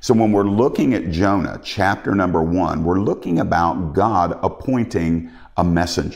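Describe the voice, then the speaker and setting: Very deep, low male voice at a moderate pace, with hardly any pauses, ordinary pitch variation and very even loudness. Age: 50s. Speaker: preacher. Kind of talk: sermon. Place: home room.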